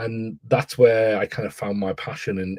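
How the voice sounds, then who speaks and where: A man with an English accent at a moderate pace. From northeast England, Newcastle. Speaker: education author and AI consultant. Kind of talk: podcast interview. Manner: halting, many repetitions.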